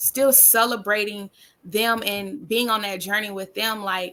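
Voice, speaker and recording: A woman with a Southern US accent speaks at a fairly slow pace in a medium pitch with a bright, sharp tone. The recording is very clean, with a silent background. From US South. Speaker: podcast guest. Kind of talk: casual chat.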